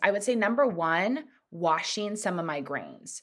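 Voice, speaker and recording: A woman with an American accent talks fairly slowly at medium pitch with lively intonation, in a very clean recording with a silent background. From Southern California. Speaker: personal chef. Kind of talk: casual chat.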